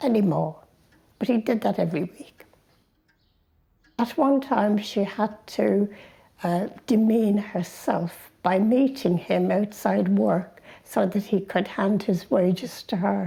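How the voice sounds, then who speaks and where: A woman speaks at a very slow pace in a dark, mellow tone with vocal fry. Long, frequent pauses break up her ordinary pitch variation. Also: medium pitch for a woman. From Ireland, Dublin. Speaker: interviewee in a documentary. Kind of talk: personal life story told to camera.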